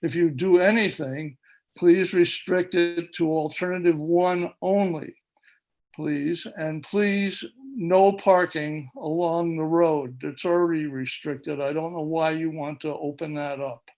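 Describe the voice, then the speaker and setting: Very slowly, a man speaks in a high pitch with fairly even intonation. The recording is very clean, with a silent background. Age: 80s+. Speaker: public meeting participant. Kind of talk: public comment. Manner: impassioned.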